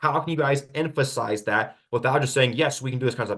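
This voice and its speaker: A man talks in a somewhat breathy voice with a fairly high pitch. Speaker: real estate agent. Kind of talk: webinar Q&A presentation. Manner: fast; animated.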